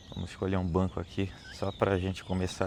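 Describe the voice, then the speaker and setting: A man is speaking. The pitch sits very deep and low. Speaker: lay preacher. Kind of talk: devotional reflection. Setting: outdoors. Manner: slow.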